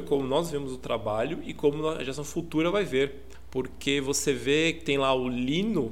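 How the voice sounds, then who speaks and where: Ordinary pitch variation in a space with audible room echo. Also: man. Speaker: podcast co-host. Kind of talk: casual chat. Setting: remote recording over internet.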